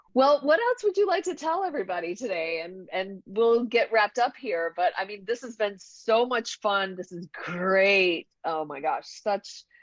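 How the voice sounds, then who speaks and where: Speaking in an American accent, the voice barely pauses and has lively intonation with big swings in loudness. The sound is dry and close, with no echo. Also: woman, medium pitch for a woman. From US South. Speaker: podcast host, functional medicine doctor. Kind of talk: interview conversation.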